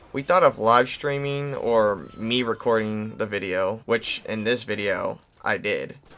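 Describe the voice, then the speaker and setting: A man speaks quietly. His tone is bright and sharp. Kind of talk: casual podcast talk.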